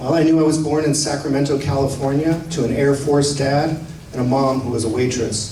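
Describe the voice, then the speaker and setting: A man speaks with an American accent. There is noticeable background noise and audible room echo. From Tucson, Arizona. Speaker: writer. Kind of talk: reading aloud.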